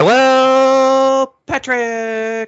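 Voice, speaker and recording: Putting on a character voice, a man pitches it extremely high. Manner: goofy, exaggerated.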